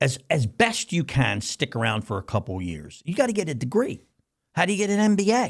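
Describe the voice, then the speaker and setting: In a very clean recording with a silent background, a man with an animated tone and vocal fry speaks fairly quickly at a fairly high pitch, with very wide pitch swings. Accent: American. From US Northeast, Philadelphia. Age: 60s. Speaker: company CEO and founder. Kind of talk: casual interview.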